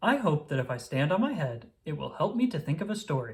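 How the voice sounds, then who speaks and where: In a put-on character voice, a man speaks at a fairly high pitch with very wide pitch swings. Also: fairly quick pace. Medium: read story.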